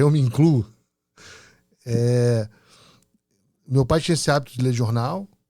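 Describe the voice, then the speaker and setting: On a very clean recording with a silent background, a man talks in a Carioca accent. His pitch is medium with ordinary variation, and his pace is moderate. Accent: Carioca accent, clear. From Rio de Janeiro, Brazil. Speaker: podcast host. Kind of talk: podcast interview.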